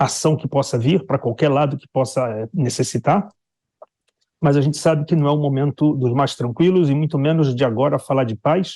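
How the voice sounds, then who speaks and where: A man with a dark, mellow tone and fairly high pitch speaks at a moderate pace. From Brazil. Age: 60s. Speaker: Brazilian expat commentator on the Israel war. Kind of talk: news interview.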